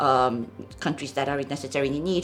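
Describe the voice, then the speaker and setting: With a Japanese accent, a woman speaks in a very deep, low pitch. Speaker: NGO programs director. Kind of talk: podcast interview. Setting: studio. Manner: hesitant, many fillers.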